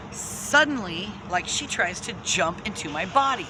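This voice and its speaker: A woman's pitch swings very widely, with audible room echo and noticeable background noise in the recording. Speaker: spiritual channeler, video host. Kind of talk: casual monologue, spiritual storytelling. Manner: stuttering, filler-heavy.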